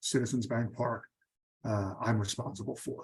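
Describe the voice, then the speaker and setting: Somewhat breathy man with a Philadelphia accent, moderate pace and fairly even intonation. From Philadelphia, US. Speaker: stadium security executive. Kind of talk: interview for a class.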